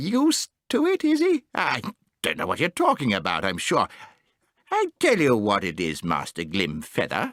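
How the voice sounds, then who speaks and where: A man puts on a character voice and delivers his lines at a moderate pace. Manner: irritable, testy.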